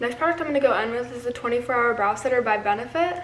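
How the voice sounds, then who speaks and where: A woman with a high voice and lively intonation speaks while noticeable background noise carries on. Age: young. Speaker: beauty and lifestyle vlogger. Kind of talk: casual talk to camera. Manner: chatty, rambling.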